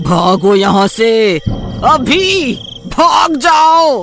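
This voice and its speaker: A man's cartoonish character voice, extremely high-pitched and growling, with very wide pitch swings. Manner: warning, growling.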